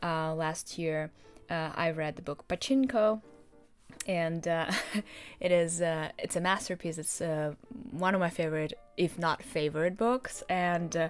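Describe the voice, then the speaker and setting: With faint music in the background, a woman speaks fairly slowly in a fairly low voice, with ordinary pitch variation and long, frequent pauses. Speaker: book vlogger. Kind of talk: casual vlog chat. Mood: cheerful, enthusiastic. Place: home room.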